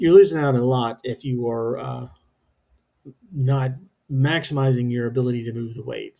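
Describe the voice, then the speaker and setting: Somewhat breathy and dark, mellow in tone, a man speaks at medium pitch and a moderate pace. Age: 50s. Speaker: home gym lifter. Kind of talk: workout voice-over narration. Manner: casual, hesitant, many fillers.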